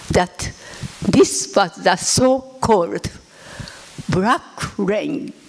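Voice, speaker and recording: At a very slow pace, a woman talks with a medium pitch. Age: 80s. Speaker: atomic bomb survivor. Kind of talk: testimony. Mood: solemn, reflective. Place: hall. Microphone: handheld.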